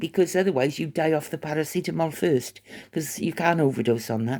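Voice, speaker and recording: A woman with an English accent speaks at a fairly quick pace and fairly low pitch. The recording is very clean, with a silent background. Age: 60s. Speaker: vlogger. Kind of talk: casual monologue.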